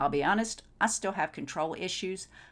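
A woman speaks in an animated, enthusiastic tone at a fairly quick pace, with vocal fry. The recording is very clean, with a silent background. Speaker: tax consultant and podcast host. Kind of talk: educational solo podcast monologue.

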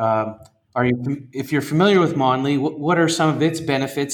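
A man with a plain, everyday voice and fairly high pitch speaks at a moderate pace. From Canada. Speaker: podcast host, education consultant. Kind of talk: podcast interview.

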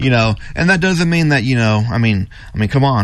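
A man speaks at a very fast pace. Audible room echo surrounds his voice. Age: 40s. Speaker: gym owner. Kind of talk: radio interview.

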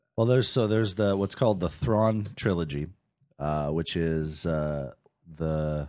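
The man's voice is very deep and low. He talks at a fairly slow pace against a quiet background. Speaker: teacher with a doctorate. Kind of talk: casual chat. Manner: halting, frequent fillers.

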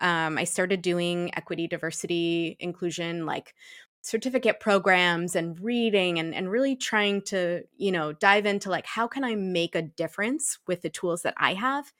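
With an American accent, a woman uses an unremarkable speaking voice at a medium pitch, with lively intonation. She speaks with hardly any pauses, and the sound is dry and close with no echo. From Massachusetts, US (Shrewsbury). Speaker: equity, diversity and inclusion consultant. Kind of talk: casual interview. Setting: video call from home.

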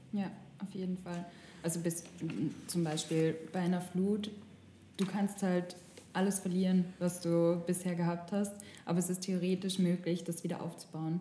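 The voice has a dark, mellow tone and is somewhat breathy, moving at a moderate pace with flat, monotone intonation and long, frequent pauses. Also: woman, fairly low pitch for a woman. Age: 20s. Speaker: journalism student, podcast co-host. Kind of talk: casual chat. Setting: studio.

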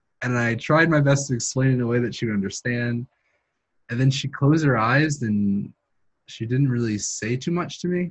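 Here a man speaks at medium pitch, somewhat breathy. His intonation is lively. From New York City, Queens. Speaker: graduate student. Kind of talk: interview.

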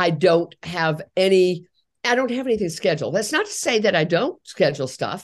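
With lively intonation and a normal speaking voice, a woman talks at a moderate pace and medium pitch. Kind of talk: interview.

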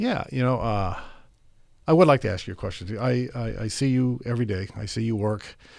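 A man talks at a very fast clip. He has a Californian accent. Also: medium pitch for a man, ordinary pitch variation, quiet background. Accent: General American (California). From Tokyo, Japan and Monterey, California. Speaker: police chief. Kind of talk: interview conversation.

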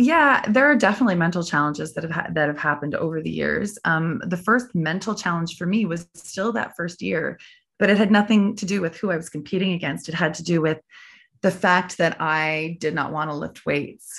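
A normal speaking voice from a woman with a Canadian accent, fairly low pitch, ordinary pitch variation and a fairly quick pace, over a quiet background. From Prince Edward Island, Canada. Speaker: athlete and occupational therapist. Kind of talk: interview.

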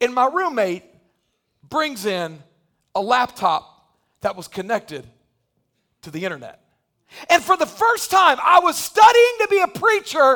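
A man speaks in an extremely high pitch with very wide pitch swings and a bright, sharp tone, his raised, projected voice animated and showing big swings in loudness, at a fairly slow pace with long, frequent pauses. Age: 40s. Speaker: pastor. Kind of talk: sermon.

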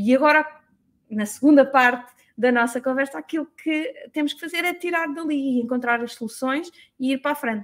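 Here a woman speaks in a European Portuguese accent at a fairly quick pace. Her pitch is high, with ordinary pitch variation. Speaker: business mentor. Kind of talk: solo talk to audience. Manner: halting, many fillers.

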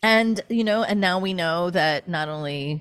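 Over a silent background, the very clean recording carries an unremarkable speaking voice. Its intonation is lively and its pace fairly slow. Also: woman. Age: 40s. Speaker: spiritual teacher. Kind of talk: casual chat.

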